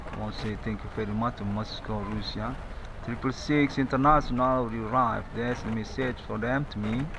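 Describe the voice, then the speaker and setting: A man's medium-pitched voice at a fairly quick pace, with fairly even intonation, noticeable background noise and audible room echo. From Indonesia. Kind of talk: monologue to camera. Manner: halting.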